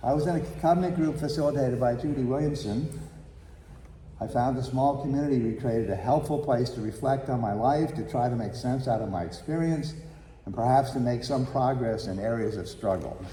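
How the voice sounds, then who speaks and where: A man of medium pitch speaks at a fairly quick pace with ordinary pitch variation, and audible room echo surrounds his voice. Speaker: congregation member giving announcements. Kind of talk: church announcement and testimonial.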